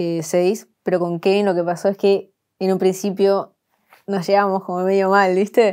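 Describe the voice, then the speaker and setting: This voice, in a Buenos Aires accent, has a dark, mellow tone and flat, monotone intonation, moving at a moderate pace over a quiet background. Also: woman. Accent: Rioplatense Spanish, Buenos Aires. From Argentina, Buenos Aires area (La Matanza); Argentina. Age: 20s. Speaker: content creator. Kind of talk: interview. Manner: casual, slangy. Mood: relaxed, laughing at times. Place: studio. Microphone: lapel.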